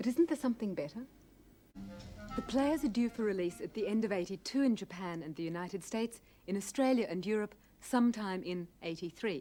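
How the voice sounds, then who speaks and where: A woman's medium-pitched voice at a fairly quick pace, lively in intonation, with music in the background. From Australia. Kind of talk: TV documentary presentation. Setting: studio. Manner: soft-spoken.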